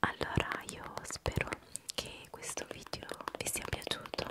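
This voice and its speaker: Over loud background noise, a woman speaks at a very slow pace, with a dry sound and no echo. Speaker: video creator. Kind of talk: soft-spoken casual vlog outro. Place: home room. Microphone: studio mic.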